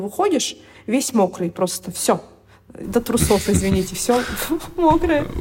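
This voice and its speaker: Noticeable background noise sits behind a woman speaking at a moderate pace. Her voice is fairly high-pitched, with lively intonation. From Siberia, Irkutsk. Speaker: expat blogger, mother on maternity leave. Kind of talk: interview.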